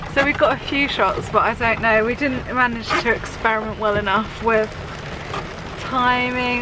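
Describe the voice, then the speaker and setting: A high-pitched woman at a moderate pace, with audible room echo and noticeable background noise. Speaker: vlogger. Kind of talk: casual vlog. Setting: inside a campervan on a moor. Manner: raised, shouting over rain.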